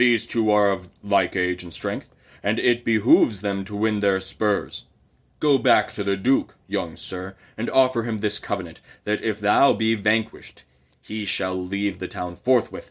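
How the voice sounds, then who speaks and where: In a very clean recording with a silent background, a man uses a put-on character voice, fairly low in pitch, with fairly even intonation at a moderate pace. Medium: read story. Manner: commanding.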